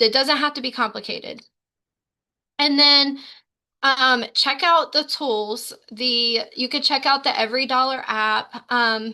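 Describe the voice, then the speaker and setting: An American-accented woman with a high pitch and a bright, sharp tone uses a raised, projected voice at a fairly slow pace. Her intonation stays fairly even, and the background is quiet. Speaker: sales team leader and trainer. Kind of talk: training session. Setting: video call.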